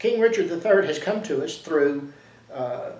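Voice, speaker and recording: A man with a Southern US accent, plus noticeable background noise and audible room echo. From Louisiana and Texas. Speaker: history commentator. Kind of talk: casual monologue. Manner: halting, frequent fillers.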